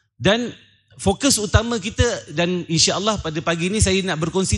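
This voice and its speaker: A man with a Malaysian accent, ordinary pitch variation and a moderate pace, in a quiet background. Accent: Malaysian Malay. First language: Malay (speaking Indonesian). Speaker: Islamic preacher and businessman. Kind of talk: religious lecture. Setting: lecture hall with live audience. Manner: halting.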